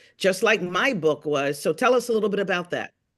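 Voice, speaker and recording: A woman's medium-pitched voice with ordinary pitch variation against a quiet background, an unremarkable speaking voice. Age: 60s. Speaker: podcast host and author. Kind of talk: casual chat.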